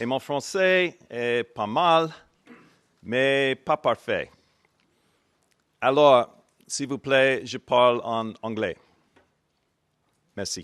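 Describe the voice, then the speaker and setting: With an American accent, a man speaks very slowly, pausing long and often. His pitch is medium with ordinary variation, and the sound is dry and close with no echo. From United States. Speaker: business school dean. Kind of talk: formal speech.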